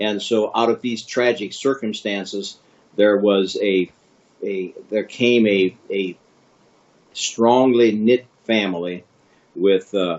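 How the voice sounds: A man talks at a slow pace in a fairly low pitch. His tone is slightly mellow and his intonation fairly even.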